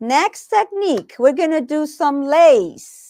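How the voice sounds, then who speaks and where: A woman speaks very slowly at a high pitch, with very wide pitch swings. The sound is dry and close, with no echo. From Puerto Rico. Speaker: sewing instructor. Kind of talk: live tutorial. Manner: casual, hesitant with fillers.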